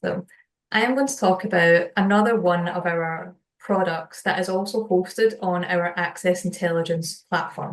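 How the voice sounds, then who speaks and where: A woman with a Scottish accent talks at a moderate pace. Her medium-pitched voice shows ordinary pitch variation. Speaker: solutions engineer. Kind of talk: webinar product presentation.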